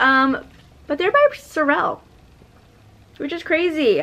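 A woman with an American accent projects a raised voice at a very slow pace, her tone bright and sharp and her intonation lively. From California. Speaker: reseller and consignment store owner; clothing reseller. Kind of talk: haul video. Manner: casual, chatty with fillers. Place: home room.

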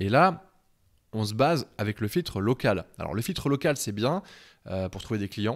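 Here a man speaks at a moderate pace with a medium pitch. His pitch swings very widely. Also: quiet background. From France, Beaujolais countryside; France. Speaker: web design trainer, freelance webmaster; web design trainer. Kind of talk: tutorial. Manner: casual, with many hesitations. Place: home room. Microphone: handheld.

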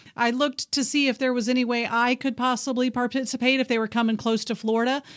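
Very fast and fairly even in intonation, a woman talks with an American accent. The recording is very clean, with a silent background. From Texas. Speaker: radio show co-host. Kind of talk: casual chat.

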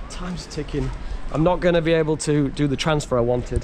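Some light background noise is present. Over it, a man talks. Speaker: travel vlogger. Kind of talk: casual vlog chat. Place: street. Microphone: phone near.

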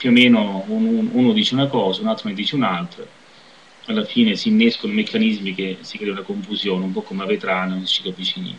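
Very fast speech over light background noise. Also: man. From southern Italy. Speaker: video blogger; vlogger commenting on politics. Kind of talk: personal commentary monologue. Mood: critical, reflective. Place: home room. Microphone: webcam.

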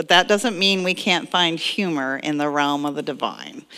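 A woman's bright, sharp tone over a quiet background. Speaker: minister. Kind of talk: sermon. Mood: playful, joking, laughing. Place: church.

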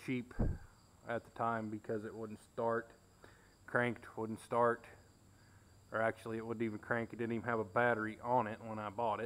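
A man speaks at a moderate pace in a flat, monotone delivery. His speech is broken by long, frequent pauses. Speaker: tractor owner. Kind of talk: casual tour narration. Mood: relaxed, reminiscing. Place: garage. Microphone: phone near.

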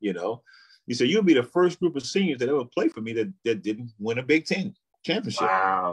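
It's quiet in the background. A man's pitch swings very widely as he talks at a fairly quick pace. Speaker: interview guest. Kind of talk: interview answer. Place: home room.

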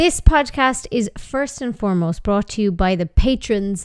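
A woman with an Irish accent talks at a moderate pace, with a quiet background. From Ireland. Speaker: podcast host. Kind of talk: casual interview chat. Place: studio. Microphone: studio mic.

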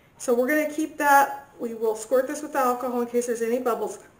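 Audible room echo surrounds the speaker. A woman talks in a high voice. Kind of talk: tutorial. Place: kitchen. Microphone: camera far.

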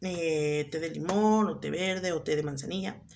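Here a woman speaks with a Mexican accent. Light background noise can be heard. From Mexico. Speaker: vlogger. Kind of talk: casual vlog chat. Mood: relaxed, a bit wry. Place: home room. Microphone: phone near.

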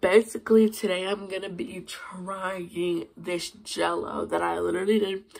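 A woman speaks at a fairly slow pace in a fairly low pitch with little pitch movement, a slightly mellow tone, and vocal fry.

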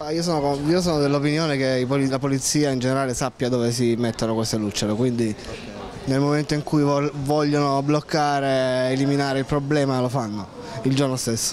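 At a fairly quick pace, a man talks at a medium pitch with a slightly mellow tone and little pitch movement, over faint background noise.

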